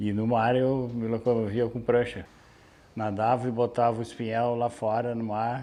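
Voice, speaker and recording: A man's dark, mellow tone, flat and monotone in intonation, at a moderate pace. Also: medium pitch for a man. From southern Brazil (Aguapé, Rio Grande do Sul coast). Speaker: fisherman. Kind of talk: interview testimony.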